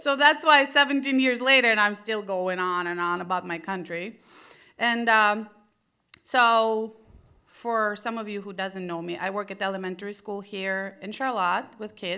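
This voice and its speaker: A woman's bright, sharp tone in a Russian accent, moderate pace, ordinary pitch variation, big swings in loudness, and a very clean recording with a silent background. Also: medium pitch for a woman. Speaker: stand-up comedian. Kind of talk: stand-up. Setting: stage with audience.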